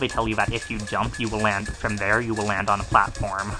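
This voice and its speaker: Over music in the background, a man talks at a very fast pace with monotone, flat intonation. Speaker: let's play gamer. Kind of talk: casual gameplay commentary. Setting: low-quality home microphone.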